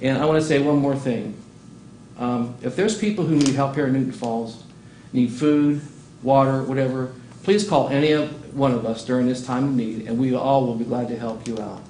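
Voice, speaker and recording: With audible room echo around him, a man speaks at medium pitch and a moderate pace, his pitch varying in an ordinary way. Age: 60s. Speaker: city council member. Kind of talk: council meeting remarks. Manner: animated.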